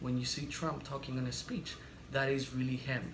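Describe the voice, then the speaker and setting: A man talks fairly quickly in a room with audible echo and noticeable background noise. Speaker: political commentary vlogger. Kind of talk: opinion monologue. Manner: fast.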